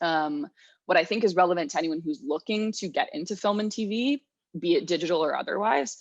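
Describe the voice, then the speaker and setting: Against a quiet background, a woman speaks at a fairly quick pace with an American accent. Her medium-pitched voice has lively intonation. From New Jersey. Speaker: media producer. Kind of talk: lecture. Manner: fast.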